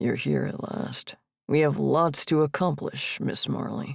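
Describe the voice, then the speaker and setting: This is a put-on character voice, raspy and growling. It moves at a fairly slow pace. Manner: growling, commanding.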